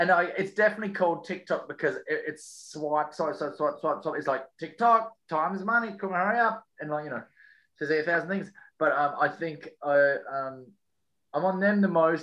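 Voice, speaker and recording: In an Australian accent, a high-pitched man speaks at a moderate pace with a bright, sharp tone and ordinary pitch variation. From Western Australia. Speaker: comedian. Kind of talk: casual chat.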